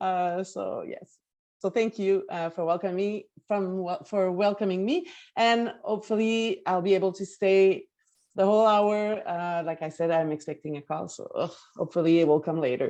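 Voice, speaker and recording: A woman speaks with a Quebec accent at a medium pitch. Her tone is dark and mellow. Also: ordinary pitch variation, moderate pace. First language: French. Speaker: management consultant. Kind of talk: video call introductions.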